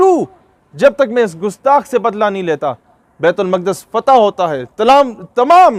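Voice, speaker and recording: Recorded with a dry, close sound and no echo, a man talks at a high pitch with very wide pitch swings. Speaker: motivational speaker. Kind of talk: passionate public speech to an audience. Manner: fervent, emphatic, rhetorical.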